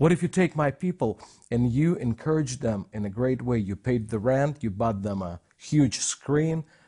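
Dry and close with no echo, a man's somewhat breathy, dark, mellow voice sits at a medium pitch and moves at a moderate pace. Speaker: co-host, minister. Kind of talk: group discussion. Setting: studio. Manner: halting.

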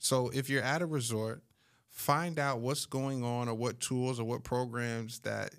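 In a normal speaking voice, a man speaks at a moderate pace and medium pitch with fairly even intonation. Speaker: timeshare sales professional and podcast host. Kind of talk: casual podcast chat.

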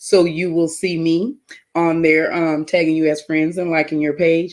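A woman talks at a fairly slow pace in a fairly low pitch. Her intonation is monotone and flat. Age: middle-aged. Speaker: talk show co-host. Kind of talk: casual chat.

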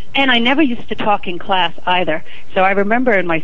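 A woman with an American accent at a medium pitch, ordinary pitch variation, noticeable background noise and audible room echo. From New York City (Manhattan). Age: 50s. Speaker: TV news reporter. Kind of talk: interview. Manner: talkative.

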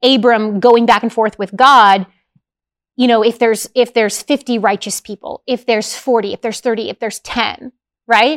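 A woman talks in a normal speaking voice with fairly high pitch. The recording is very clean, with a silent background and a dry, close sound with no echo. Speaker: Bible teacher and show host. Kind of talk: casual chat.

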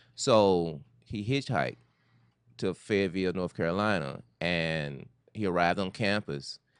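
In an American accent, a man speaks with lively intonation at a very deep, low pitch against a quiet background. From US South, Memphis, Tennessee. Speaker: film director and writer. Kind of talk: interview. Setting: studio.

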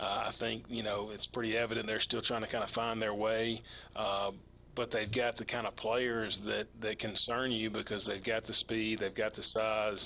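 A man with an American accent speaks in a bright, sharp tone at very even loudness. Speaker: high school football coach. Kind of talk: interview.

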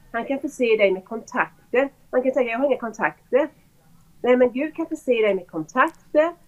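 Speaking with a Swedish accent, a woman uses lively intonation at a high pitch and a moderate pace. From Sweden. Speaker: school pastor. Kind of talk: testimony. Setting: video call.

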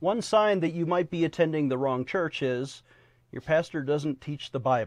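A man's normal speaking voice, fairly high in pitch, with ordinary pitch variation, at a moderate pace against a quiet background. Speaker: TV news show host and chaplain. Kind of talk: interview with ministry pitch. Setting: studio.

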